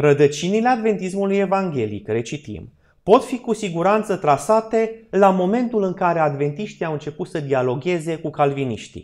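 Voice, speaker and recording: The man's voice sits high in pitch and swings very widely. He keeps a moderate pace over a quiet background. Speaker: church Bible study teacher. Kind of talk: Bible study lecture in church. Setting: church hall with live audience. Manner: interactive, asks audience questions. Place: hall. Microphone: podium.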